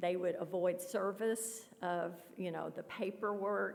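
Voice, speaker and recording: In a Kentucky accent, a woman with a medium-pitched voice talks at a fairly slow pace with fairly even intonation. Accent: Kentucky Southern US. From western Kentucky, Paducah. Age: 60s. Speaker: author. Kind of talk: Q&A after a talk. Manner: hesitant, with fillers.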